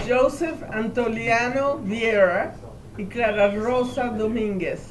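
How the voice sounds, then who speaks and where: A woman speaks at a fairly slow pace in a fairly high pitch with ordinary pitch variation. The recording carries noticeable background noise and audible room echo. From Cuba, Havana. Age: 80s+. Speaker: family elder recounting history. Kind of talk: family oral history interview.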